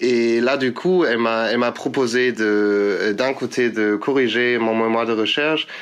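Speaking very slowly with a German accent, a man of medium pitch keeps his intonation fairly even. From Germany. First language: German (speaking French). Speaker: political science master's student, volunteer. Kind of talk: interview. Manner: halting.

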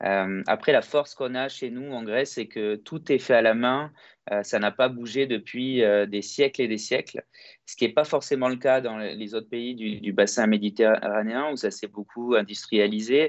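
A man talks with fairly even intonation at a medium pitch. He has a plain, everyday voice. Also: moderate pace. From France (Toulouse) and Greece (Kalamata). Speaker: entrepreneur. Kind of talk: interview. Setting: video call.

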